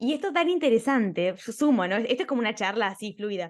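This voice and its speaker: A woman with an Argentine accent at a fairly high pitch, with lively intonation and an animated tone against a quiet background. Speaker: podcast host, architect. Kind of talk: interview conversation.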